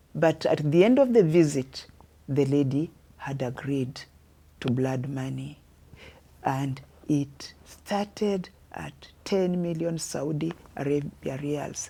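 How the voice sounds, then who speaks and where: A woman speaks very slowly in a dark, mellow tone. She leaves long, frequent pauses. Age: 70s. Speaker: mother of a son jailed abroad, veteran journalist. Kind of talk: interview.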